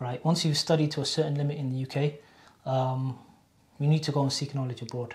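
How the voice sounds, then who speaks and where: This man has a Cardiff accent and a fairly high pitch. His intonation is monotone and flat, and his voice is somewhat breathy. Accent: Cardiff Welsh English. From Wales, Cardiff. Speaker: Islamic university graduate. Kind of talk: casual interview. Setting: college library.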